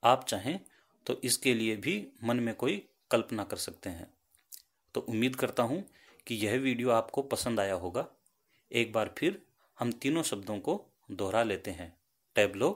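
Long, frequent pauses break up a man's speech, which has lively intonation at a medium pitch. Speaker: YouTube English vocabulary teacher. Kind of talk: tutorial. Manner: slow, spelling words letter by letter.

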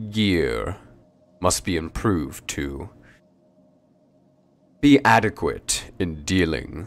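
In a put-on character voice, a man talks at a very slow pace with a very deep, low pitch and long, frequent pauses. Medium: actual play. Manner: brusque, forceful, clipped orders.

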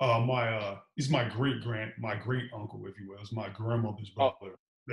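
In an American accent, a man speaks at a moderate pace with a somewhat breathy voice, fairly even intonation and audible room echo. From Chicago. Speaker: police officer; guest. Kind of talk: casual interview. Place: home room. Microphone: video call.

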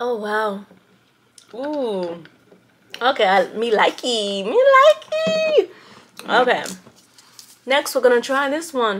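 Over light background noise, a woman speaks at a very slow pace with long, frequent pauses. Her voice is high, with lively intonation. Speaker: taste-test vlogger. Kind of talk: casual vlog chat. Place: home room. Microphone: camera far.

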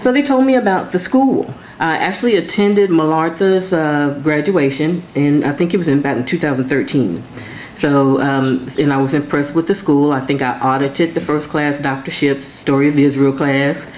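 Over light background noise, a woman with an American accent talks at a moderate pace, her very deep, low voice showing ordinary pitch variation. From Texas, Austin. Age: 50s. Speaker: theology student and state government manager. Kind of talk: speech to an audience. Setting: event with live audience. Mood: earnest, warm. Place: hall. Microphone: podium.

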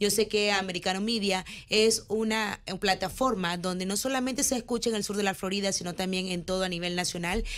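This woman's speech moves fairly quickly. There is fairly little rise and fall in her intonation. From Nicaragua. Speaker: businesswoman and political candidate; candidate. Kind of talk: campaign interview. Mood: earnest, persuasive. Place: studio. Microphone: studio mic.

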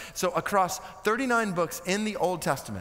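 With an American accent, this voice carries the words. It belongs to a man. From United States. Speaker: preacher, seminary guest speaker. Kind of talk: sermon preached to a seminary chapel audience. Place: stage. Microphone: headset.

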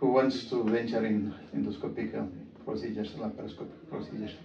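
With an Ethiopian accent, a man speaks at a moderate pace amid light background noise and audible room echo. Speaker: visiting surgeon, observer. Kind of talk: interview testimonial. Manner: hesitant, many fillers. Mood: appreciative, calm. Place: office.

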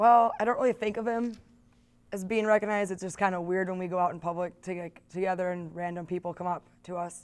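Her intonation fairly even, a woman talks at a very fast pace. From Wisconsin. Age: 20s. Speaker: university student; interviewee. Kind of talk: interview. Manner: casual, halting. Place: studio. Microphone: lapel.

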